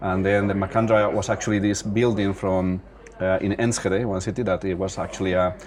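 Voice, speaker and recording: In a Spanish accent, a man speaks fairly quickly at a fairly low pitch with monotone, flat intonation amid noticeable background noise. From Spain. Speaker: singer-songwriter. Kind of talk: interview. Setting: nightclub. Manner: halting.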